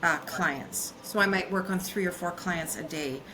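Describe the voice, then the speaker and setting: With a Canadian accent, a woman of medium pitch talks at a fairly slow pace over noticeable background noise and audible room echo. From Canadian prairies. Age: 60s. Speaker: business consultant. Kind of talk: podcast interview. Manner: halting, many fillers.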